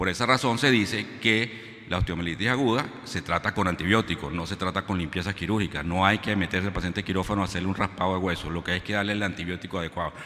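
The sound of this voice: A man's fast, bright, sharp voice, low in pitch, with ordinary pitch variation and few pauses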